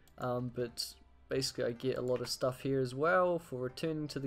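The pace of the speech is moderate. Behind it, music plays. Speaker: gaming youtuber. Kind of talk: casual gameplay commentary.

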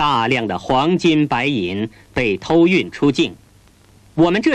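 With a stern tone and vocal fry, a man speaks at a fairly slow pace, his fairly high pitch swinging very widely. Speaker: documentary narrator. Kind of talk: 1980s newsreel documentary narration. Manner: formal, stern, measured official newsreel delivery; deliberate, declamatory, condemning tone.

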